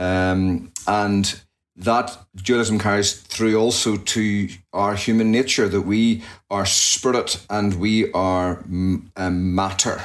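In a very clean recording with a silent background, a man with a Northern Irish accent speaks very slowly at a fairly low pitch. His intonation is monotone and flat, and his loudness stays very even. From Northern Ireland, near Belfast. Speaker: pastor. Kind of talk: interview conversation.

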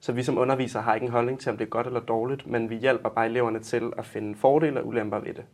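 The man talks very fast, with hardly any pauses. His pitch is medium and his intonation flat and monotone. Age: 20s. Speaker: sex education teacher and psychology student. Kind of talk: interview.

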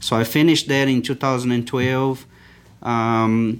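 A man talks at a moderate pace in a Portuguese accent. His intonation is monotone and flat. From Brazil. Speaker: agricultural scientist. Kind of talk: interview. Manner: halting.

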